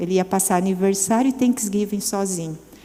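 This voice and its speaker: A woman speaks with ordinary pitch variation. There is audible room echo and noticeable background noise. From Brazil, São Paulo. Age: 60s. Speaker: women's ministry speaker. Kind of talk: sermon. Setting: church event with audience.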